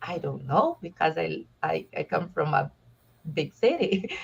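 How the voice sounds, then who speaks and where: A woman is speaking. Her voice has vocal fry. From southern Brazil. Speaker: expat interviewee. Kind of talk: casual interview chat. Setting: live video stream.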